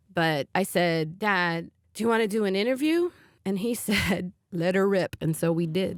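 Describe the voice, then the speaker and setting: A woman's plain, everyday voice of medium pitch, moderate pace, ordinary pitch variation and very even loudness, in a dry, close sound with no echo. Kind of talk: personal storytelling interview.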